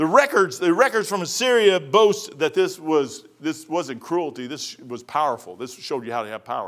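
Fairly high male voice with very wide pitch swings. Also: moderate pace, hardly any pauses. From Kentucky. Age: 60s. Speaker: preacher. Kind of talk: sermon. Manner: casual, folksy.

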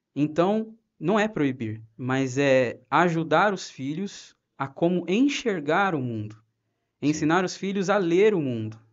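The delivery is very slow, yet the intonation stays lively. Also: man, fairly high pitch for a man. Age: 30s. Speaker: ministry volunteer. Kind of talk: personal testimony.

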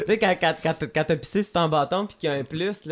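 At a fairly quick pace with ordinary pitch variation, the voice comes through in a very clean recording with a silent background. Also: woman. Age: 40s. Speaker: comedian. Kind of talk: casual chat.

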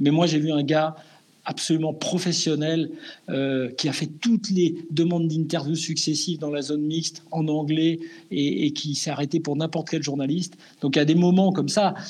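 A man with a plain, everyday voice speaks at a moderate pace with fairly even intonation. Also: fairly high pitch for a man. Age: 50s. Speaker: sports journalist. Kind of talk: casual interview.

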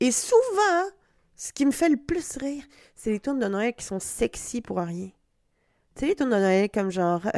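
A woman with a Quebec accent speaks at a high pitch with very wide pitch swings and big swings in loudness. Her pace is fairly slow, with long, frequent pauses, and the sound is dry and close with no echo. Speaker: comedian. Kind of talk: solo comedy podcast monologue. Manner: animated; halting.

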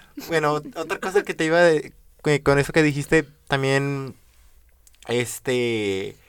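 A man at a fairly high pitch, talking at a very slow pace with long, frequent pauses and ordinary pitch variation. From Venezuela. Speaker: podcast host. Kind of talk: interview.

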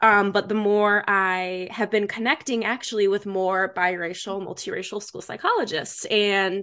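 A woman speaks with an American accent in a bright, sharp tone. The background is quiet. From Michigan, US Midwest. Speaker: school psychologist. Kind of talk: casual chat.

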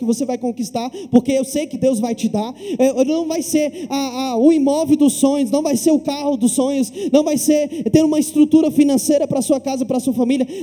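Over noticeable background noise, a man with an extremely high pitch speaks at a moderate pace with fairly even intonation. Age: 20s. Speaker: pastor. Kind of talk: sermon. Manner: halting, with frequent fillers and repetitions.

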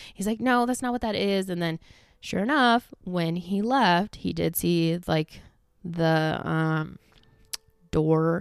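With lively intonation, a woman speaks at a fairly low pitch. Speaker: podcast host. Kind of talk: casual solo chat. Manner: fast talker; chatty, filler-heavy.

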